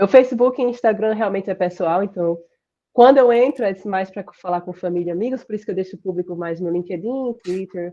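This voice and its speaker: A woman's voice has a dark, mellow tone. She moves at a fairly quick pace, with big swings in loudness. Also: medium pitch for a woman, ordinary pitch variation. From Brazil, Sergipe. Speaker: computer science professor. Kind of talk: interview. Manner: fast.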